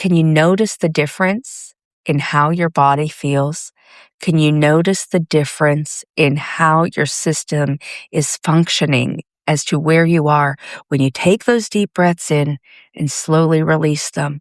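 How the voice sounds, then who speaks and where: A woman with a very deep, low voice and a gentle tone reads at a fairly slow pace with very even loudness and fairly even intonation, in a dry, close sound with no echo and a very clean recording with a silent background. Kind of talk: pep talk.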